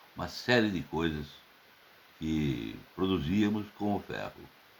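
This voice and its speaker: A man with vocal fry and lively intonation. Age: 70s. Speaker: political commentator. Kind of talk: open letter monologue.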